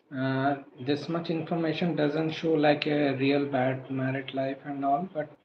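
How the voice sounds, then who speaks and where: Soft-spoken and fairly slow, a man talks at a fairly high pitch in a flat monotone over noticeable background noise. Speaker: astrologer. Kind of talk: live stream Q&A. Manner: halting.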